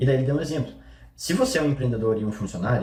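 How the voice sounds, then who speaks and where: This man's medium-pitched voice, dark and mellow in tone and somewhat breathy, races along at a very fast pace. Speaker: online marketing coach. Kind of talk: vlog commentary.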